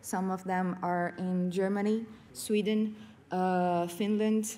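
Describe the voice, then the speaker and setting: A woman with a Portuguese accent speaks at a very slow pace, with a medium pitch and a dark, mellow tone. Her intonation is fairly even, and there is audible room echo. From Brazil, São Paulo state. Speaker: professor and game curator. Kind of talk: conference talk. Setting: stage with audience. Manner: halting, many fillers.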